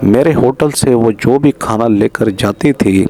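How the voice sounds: The man's tone is dark and mellow. He talks at a fairly slow pace. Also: medium pitch for a man, ordinary pitch variation.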